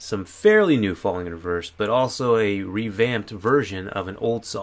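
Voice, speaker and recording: Intonation is lively as the male speaker talks. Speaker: music reaction youtuber. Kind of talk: casual vlog chat. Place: home room.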